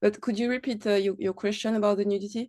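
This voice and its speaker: Woman with a French accent, in a dry, close sound with no echo over a quiet background. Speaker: activist speaker. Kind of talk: panel discussion. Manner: halting.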